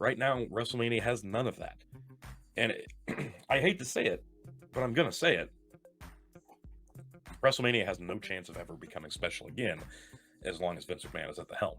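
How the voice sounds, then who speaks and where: Over music in the background, a man speaks with a passionate tone at a fairly quick pace, broken by long, frequent pauses. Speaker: wrestling podcast host. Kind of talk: podcast rant. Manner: passionate, emphatic.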